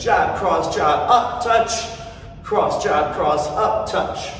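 Audible room echo and light background noise surround the voice. A man speaks at a very slow pace with ordinary pitch variation. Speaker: fitness instructor. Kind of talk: workout instruction cues. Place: gym. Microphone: camera far.

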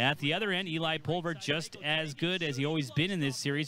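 A man is heard talking with noticeable background noise behind him. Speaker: play-by-play commentator. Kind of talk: sports commentary. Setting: highlights voiceover. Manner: fast, energetic play-by-play delivery; polished, broadcast-style.

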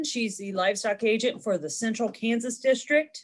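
In an ordinary speaking voice, a woman talks at a moderate pace with a fairly high pitch. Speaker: extension agent. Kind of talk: webinar hosting. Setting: video call.

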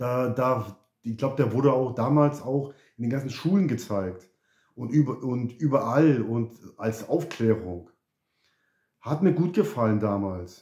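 Somewhat breathy, a man talks at a medium pitch with lively intonation. He leaves long, frequent pauses. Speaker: YouTuber. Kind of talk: casual vlog chat. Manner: halting, repeats words.

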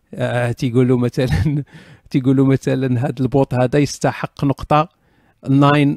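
A man's medium-pitched voice at a moderate pace, with ordinary pitch variation and a dry, close sound free of echo. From Morocco. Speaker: online talk show host. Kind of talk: casual live chat answering audience questions. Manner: animated. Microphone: professional stereo USB mic.

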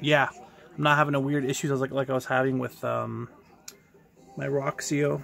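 A man's fairly bright tone with vocal fry, fairly even intonation and a moderate pace

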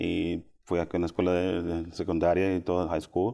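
Against a quiet background, a man speaks at a fairly slow pace with a very deep, low pitch and a dark, mellow tone. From Austin, Texas. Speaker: school parent support specialist; guest. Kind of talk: interview. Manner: halting. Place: studio. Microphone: lapel.

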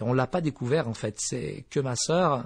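A somewhat breathy man at a moderate pace, with a dry, close sound with no echo and a quiet background. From eastern France (Vosges), born in Morocco. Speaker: pastor. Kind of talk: testimony. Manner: hesitant, many fillers.

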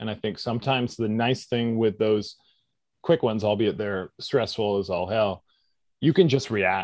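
Speaking in a normal speaking voice with a Canadian accent, a man keeps a moderate pace and medium pitch, with ordinary pitch variation. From Canada, British Columbia (Squamish). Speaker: actor and stunt performer. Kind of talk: interview.

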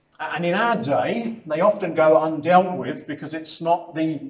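There is audible room echo around a man's high-pitched voice. His pitch varies in an ordinary way. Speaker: preacher. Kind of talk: sermon. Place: hall. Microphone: camera far.

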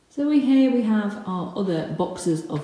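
A woman speaks slowly in a dark, mellow tone with big pitch swings. Room echo is audible.

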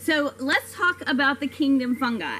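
Light background noise sits behind a woman as she speaks. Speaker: science educator. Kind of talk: lecture. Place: garden. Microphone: camera far.

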